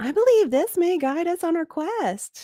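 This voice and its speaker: An extremely high-pitched, put-on character voice with a gentle tone. The pace is moderate. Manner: gentle, sweetly patient.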